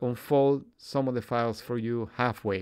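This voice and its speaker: Talking at a fairly slow pace, a man with a Spanish accent uses ordinary pitch variation. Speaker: audio equipment video reviewer. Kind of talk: product review video.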